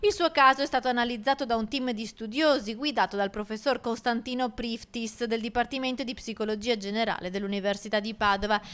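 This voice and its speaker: A woman talks at a fairly quick pace in a fairly high pitch, with ordinary pitch variation and an ordinary speaking voice. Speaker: TV news reporter. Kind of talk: TV news report narration.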